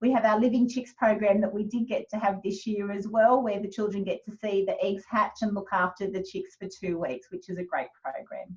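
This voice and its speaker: A woman talks at a fairly quick pace with an Australian accent, hardly pausing. Her medium-pitched voice is somewhat breathy, with ordinary pitch variation. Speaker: kindergarten teacher. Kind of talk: information session presentation. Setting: video call.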